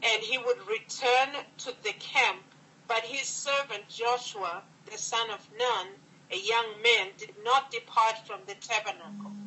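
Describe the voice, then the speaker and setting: A woman's fairly high voice at a fairly slow pace, an unremarkable speaking voice with fairly even intonation and big swings in loudness, over light background noise. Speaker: church minister. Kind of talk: reading aloud. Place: home room. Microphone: phone near.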